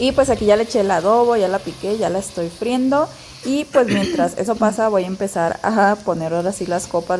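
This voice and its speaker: A woman's lively intonation at a moderate pace. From Mexico, Pacific coast (Zihuatanejo, Guerrero). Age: 30s. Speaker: vlogger. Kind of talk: casual vlog narration.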